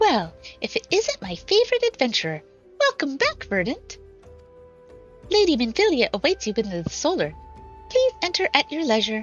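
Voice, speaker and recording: Over clear background music, a woman uses a put-on character voice at a high pitch. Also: moderate pace. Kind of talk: bright, welcoming.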